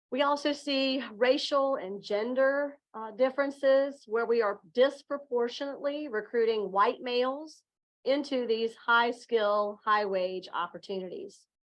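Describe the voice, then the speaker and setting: With a Southern Virginia accent, a woman talks fairly slowly in a high pitch, using ordinary pitch variation and hardly any pauses. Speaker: education executive. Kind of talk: conference presentation.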